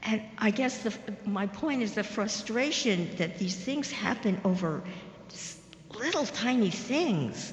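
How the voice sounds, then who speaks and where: Lively intonation marks this woman's fairly high-pitched, fairly slow speech. Noticeable background noise and audible room echo surround her. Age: 80s+. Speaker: audience member. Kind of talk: audience question.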